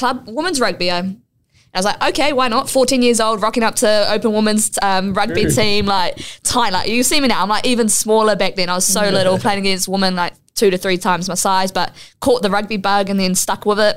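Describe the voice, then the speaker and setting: On a very clean recording with a silent background, a woman with a New Zealand accent talks at a fairly quick pace, medium pitch and ordinary pitch variation. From New Zealand, west Auckland. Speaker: rugby league player. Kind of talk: casual interview chat.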